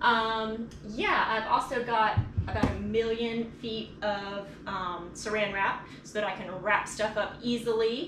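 Noticeable background noise sits under a woman's voice with fairly even intonation. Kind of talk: casual vlog tour. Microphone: phone near.

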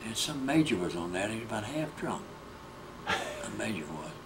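A man's voice with very wide pitch swings, noticeable background noise behind it. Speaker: war veteran. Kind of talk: elderly veteran recounting prison-camp memories in an oral history interview. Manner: halting, repetitive short phrases; plain-spoken, matter-of-fact storytelling. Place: home room. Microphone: handheld.

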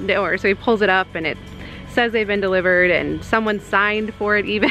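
Over faint background music, a woman speaks at a very fast pace, with a dry sound and no echo. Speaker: family vlogger. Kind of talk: casual vlog chat. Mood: amused, storytelling. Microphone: phone near.

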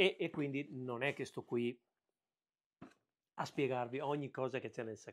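At a moderate pace, a man is talking. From Veneto, Italy. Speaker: 3D printing and woodworking YouTuber; tech vlogger. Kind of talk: unboxing video. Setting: home workshop. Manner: casual, hesitant with fillers. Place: workshop. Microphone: lapel.

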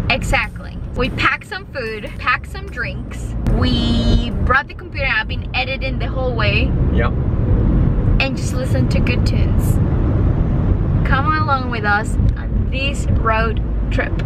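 Music plays in the background as a woman speaks at a fairly slow pace with long, frequent pauses, the sound dry with no echo. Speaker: travel vlogger. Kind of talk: casual vlog chat. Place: car.

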